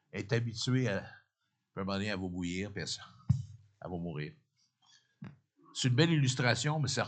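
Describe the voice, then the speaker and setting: A man speaks at a medium pitch with lively intonation, long and frequent pauses, big swings in loudness, and audible room echo. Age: 60s. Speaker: pastor. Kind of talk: sermon. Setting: church. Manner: halting, repeats words.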